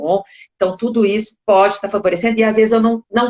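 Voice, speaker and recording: A woman speaks with a normal speaking voice at a fairly quick pace. Her intonation stays fairly even. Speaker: speech therapist. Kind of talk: interview answer.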